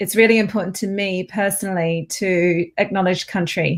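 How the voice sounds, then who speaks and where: A medium-pitched woman with an Australian accent at a moderate pace, on a very clean recording with a silent background. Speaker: professor. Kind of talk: academic lecture.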